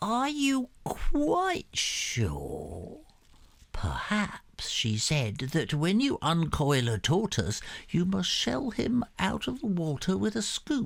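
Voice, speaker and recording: A high-pitched, put-on character voice comes from a man. His delivery is very slow. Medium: read story. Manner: teasing.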